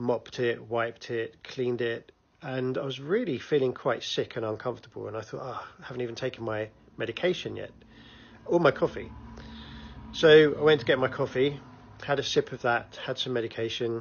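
Somewhat breathy, a man talks at a fairly quick pace with fairly even intonation. Light background noise can be heard. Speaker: vlogger. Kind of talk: casual vlog chat. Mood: cheerful, chatty storytelling. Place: home room. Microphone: phone near.

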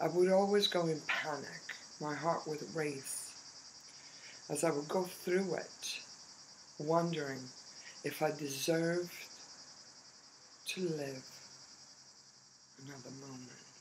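Amid noticeable background noise, a woman with a very deep, low pitch talks at a fairly slow pace with fairly even intonation and long, frequent pauses. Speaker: storyteller about her family town. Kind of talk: personal storytelling. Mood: calm, reflective, slow pauses. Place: tunnel cave. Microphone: phone near.

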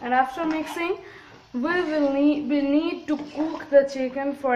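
Heard with audible room echo, a high-pitched woman speaks at a fairly slow pace with ordinary pitch variation.

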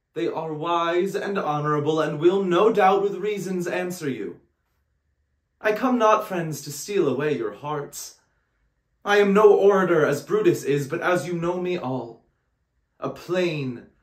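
A man at a fairly slow pace, with audible room echo over a quiet background. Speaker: actor. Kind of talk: dramatic monologue performance. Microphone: phone near.

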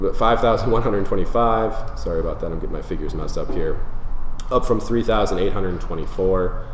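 A man with an American accent speaks at a fairly slow pace. Audible room echo and light background noise fill the recording. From Minnesota, Twin Cities suburbs. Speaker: real estate agent. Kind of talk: market update presentation. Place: home room.

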